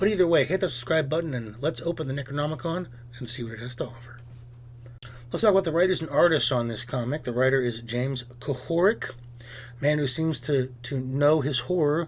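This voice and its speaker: A man talks at a fairly quick pace with a somewhat breathy voice and ordinary pitch variation. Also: fairly high pitch for a man. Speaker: comic book reviewer. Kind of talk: scripted review. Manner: fast.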